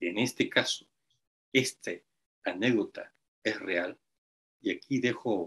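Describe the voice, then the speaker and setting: A man's very slow delivery, with long, frequent pauses. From Peru. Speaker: writer and independent researcher. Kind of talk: interview introduction.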